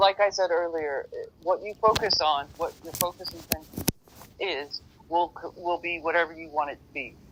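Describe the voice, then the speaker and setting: Moderate pace, fairly even intonation and big swings in loudness. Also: man, high pitch for a man. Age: 50s. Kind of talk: casual chat.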